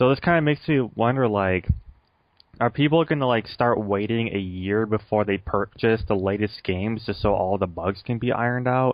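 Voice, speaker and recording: A man with an American accent speaks in an unremarkable speaking voice at a moderate pace, with very even loudness and ordinary pitch variation. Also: medium pitch for a man. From United States. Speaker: gaming podcast co-host. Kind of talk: casual chat.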